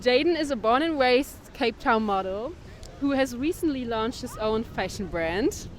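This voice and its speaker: Over noticeable background noise, a woman with a German accent talks at a moderate pace, her high pitch carried by lively intonation. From Germany. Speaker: podcast host. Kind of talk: interview podcast. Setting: on location in Cape Town.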